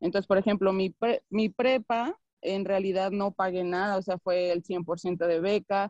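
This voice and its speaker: In a normal speaking voice with fairly even intonation and very even loudness, the speaker goes at a fairly slow pace, with a dry, close sound and no echo. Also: woman, medium pitch for a woman. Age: 30s. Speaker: basketball coach. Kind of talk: interview. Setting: video call.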